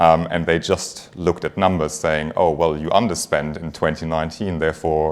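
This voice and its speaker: A man with a German accent, very deep and low in pitch, at a moderate pace. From Germany. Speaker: finance executive. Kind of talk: conference talk.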